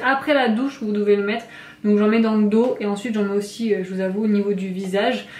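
A woman's voice with fairly even intonation and audible room echo. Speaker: beauty vlogger. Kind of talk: casual vlog chat. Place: bathroom. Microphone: camera far.

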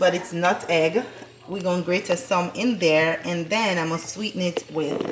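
A woman speaks over noticeable background noise. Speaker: family vlogger. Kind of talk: casual vlog chat. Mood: cheerful, relaxed. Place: kitchen. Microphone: phone near.

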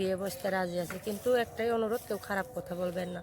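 A woman with a plain, everyday voice talks at medium pitch with fairly even intonation. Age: young. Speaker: domestic worker seeking marriage. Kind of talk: interview testimony.

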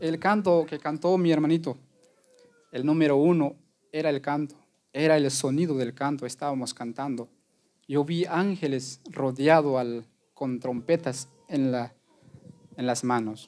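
This man's voice sits fairly high and has ordinary pitch variation. He goes at a fairly slow pace with long, frequent pauses. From Guatemala. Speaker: lay preacher. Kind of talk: testimony. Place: church.

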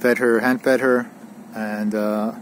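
A man speaks in a monotone, flat intonation. The sound is dry with no echo, over light background noise. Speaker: tennis coach. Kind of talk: lesson summary. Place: open country.

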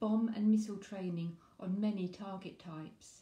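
Somewhat breathy and dark, mellow in tone, a woman's medium-pitched voice keeps fairly even intonation at a moderate pace, with audible room echo. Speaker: poetry reviewer and author. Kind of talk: poem reading aloud, performed. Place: home room. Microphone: phone near.

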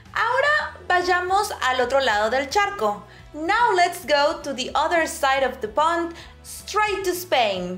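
Faint music sits in the background. A woman with an extremely high pitch talks very slowly, her pitch swinging very widely. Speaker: Spanish teacher. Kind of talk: language lesson to camera. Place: home room.

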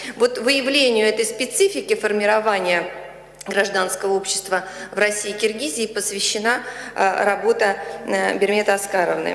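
Amid audible room echo, a woman speaks at a moderate pace with fairly even intonation. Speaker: professor, official opponent; professor. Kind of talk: formal academic review. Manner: formal. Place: hall.

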